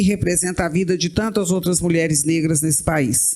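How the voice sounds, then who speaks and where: A woman speaks at a fairly low pitch against noticeable background noise. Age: 60s. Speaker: writer. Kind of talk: panel discussion.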